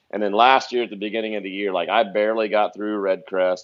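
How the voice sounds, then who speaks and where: Fairly low in pitch, a man with an American accent speaks at a very fast pace. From Ohio. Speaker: pro bass fisherman. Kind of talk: podcast interview. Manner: animated.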